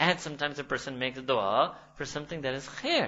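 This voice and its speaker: A man speaks with a New York accent. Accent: New York American English. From New York City, USA. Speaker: Islamic scholar and university lecturer. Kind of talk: academic lecture.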